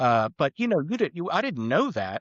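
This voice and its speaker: Against a quiet background, a man speaks at a moderate pace, the sound dry and close with no echo. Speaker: auto repair shop owner. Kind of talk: podcast interview. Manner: loud; halting, many restarts.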